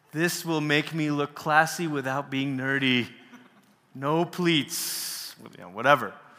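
A man's fairly high voice at a very slow pace, fairly even intonation, and noticeable background noise. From Malaysia. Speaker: workshop speaker on worship. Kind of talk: workshop talk. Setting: stage with audience.

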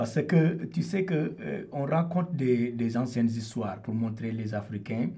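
A somewhat breathy man's voice at medium pitch, very slow in pace, with a dark, mellow tone, lively intonation and audible room echo. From Senegal. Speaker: percussionist and singer. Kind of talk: radio interview.

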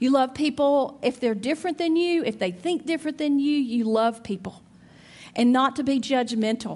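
A high-pitched woman with an Alabama accent, at a moderate pace with ordinary pitch variation, over a quiet background. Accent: Southern (Alabama). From Alabama, near Birmingham. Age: 50s. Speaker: church speaker. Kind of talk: sermon.

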